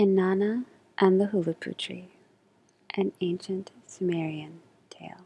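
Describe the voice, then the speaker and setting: Soft-spoken, a woman talks at a fairly slow pace with long, frequent pauses, a medium pitch, fairly even intonation and a dark, mellow tone. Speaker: storyteller and voice actor. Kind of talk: soft story reading of a myth with music. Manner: soft-spoken, slow.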